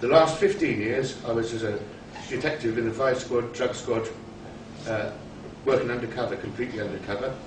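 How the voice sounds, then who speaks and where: Medium pitch from a man, ordinary pitch variation, a fairly quick pace broken by long, frequent pauses, plus audible room echo and noticeable background noise. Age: 60s. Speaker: party activist, retired police detective. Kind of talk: political speech.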